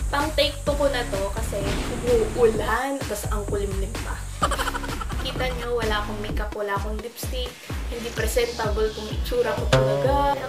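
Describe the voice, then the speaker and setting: Over loud background music, a woman talks at a moderate pace. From Philippines. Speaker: nursing student and beauty youtuber. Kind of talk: casual talk to camera. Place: home room. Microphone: webcam.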